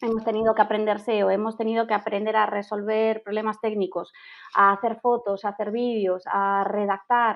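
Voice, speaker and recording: In a Galician accent, a woman talks at a moderate pace. Her fairly high voice has a monotone, flat intonation. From Galicia, Spain. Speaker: travel blogger. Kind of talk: podcast interview.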